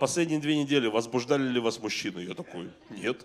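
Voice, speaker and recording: A man speaks at a medium pitch and a fairly quick pace. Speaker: stand-up comedian. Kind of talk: stand-up comedy. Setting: stage with audience. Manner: animated, conversational, profanity-laced delivery with mock-outraged voices. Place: stage. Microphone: handheld.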